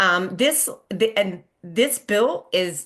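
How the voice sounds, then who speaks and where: A woman talks with lively intonation. The background is quiet. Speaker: nonprofit community engagement director. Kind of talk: educational presentation on legislation. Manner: fast.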